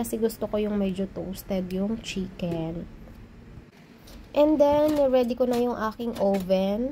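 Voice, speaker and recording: A woman's voice is somewhat breathy, with a dark, mellow tone. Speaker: home cooking vlogger. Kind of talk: voice-over cooking tutorial. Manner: casual, conversational.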